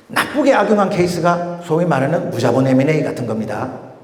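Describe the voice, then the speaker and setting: A man with a high voice is heard with audible room echo. Noticeable background noise runs underneath. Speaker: M&A and investment expert, lecturer. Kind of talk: lecture. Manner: fast.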